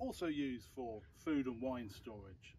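A man's voice carries a dark, mellow tone with a slightly husky edge.

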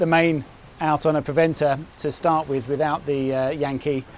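A man is heard in a dry sound with no echo and light background noise. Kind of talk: casual vlog chat. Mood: relaxed, chatty. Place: boat.

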